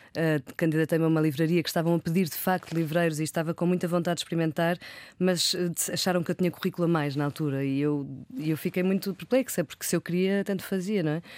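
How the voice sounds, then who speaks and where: Speaking at a very fast pace, a woman with a fairly low pitch keeps her intonation fairly even and her loudness very even, in a very clean recording with a silent background and a dry, close sound with no echo. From Porto, northern Portugal. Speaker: poet and journalist. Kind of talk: interview conversation.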